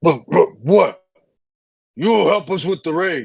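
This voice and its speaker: Doing a put-on character voice, a man speaks very slowly in a raspy, high tone. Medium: actual play.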